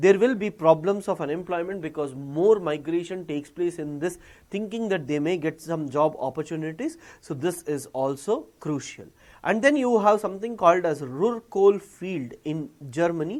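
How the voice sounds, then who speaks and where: Against a silent background on a very clean recording, the talking holds a moderate pace. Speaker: teacher. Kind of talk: lecture.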